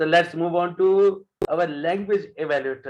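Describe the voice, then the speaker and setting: A man speaks at a fairly slow pace with a Punjabi accent. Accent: South Asian (Punjabi) English. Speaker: general evaluator at a speaking club. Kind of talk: club meeting chairing.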